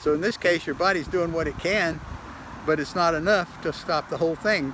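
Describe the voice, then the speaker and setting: A man talks at a fairly quick pace in a high pitch with fairly even intonation. Noticeable background noise runs underneath. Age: 70s. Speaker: self-published aging researcher. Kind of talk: casual video monologue. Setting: walking at a doctor's office. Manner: halting, many fillers and repetitions.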